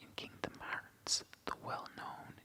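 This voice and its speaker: A man whispers at a fairly slow pace in a gentle tone. Noticeable background noise runs behind him. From Ireland. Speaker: ASMR reader / gaming channel host. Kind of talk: ASMR soft-spoken reading of a game guide. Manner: whispered, soft-spoken, gentle.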